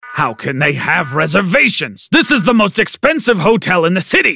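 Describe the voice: In a put-on character voice, a man speaks at a moderate pace with a high pitch, big pitch swings, a bright, sharp tone, vocal fry and a slightly husky edge.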